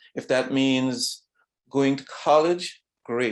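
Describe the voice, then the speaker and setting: Speaking very slowly in a Trinidadian accent, a man keeps a fairly even intonation on a very clean recording with a silent background. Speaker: retired vascular surgeon. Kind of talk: talk to students. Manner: halting.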